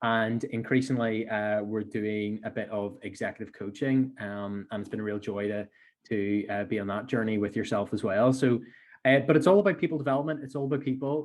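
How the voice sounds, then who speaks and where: Against a quiet background, a man speaks at a fairly quick pace with a medium pitch and ordinary pitch variation. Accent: Belfast. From Northern Ireland, Belfast. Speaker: entrepreneur. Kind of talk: podcast interview.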